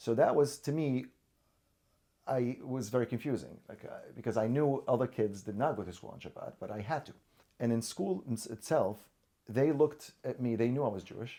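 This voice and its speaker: At a fairly quick pace, a man with an Arabic accent and a dark, mellow tone speaks at medium pitch, with ordinary pitch variation and big swings in loudness. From Syria. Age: 40s. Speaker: orthodontist. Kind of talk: interview. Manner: halting, many repetitions and fillers.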